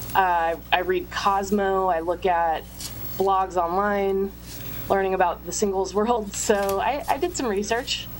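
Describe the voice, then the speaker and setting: A woman talks fairly slowly at a medium pitch, with fairly even intonation. She has an unremarkable speaking voice. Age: 30s. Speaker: magazine writer. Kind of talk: casual chat.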